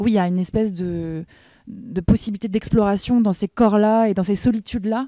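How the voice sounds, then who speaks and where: Recorded very cleanly with a silent background and a dry, close sound with no echo, a woman speaks at a fairly quick pace in a dark, mellow, medium-pitched voice with fairly even intonation. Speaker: actress. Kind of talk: interview. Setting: film festival. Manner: fast.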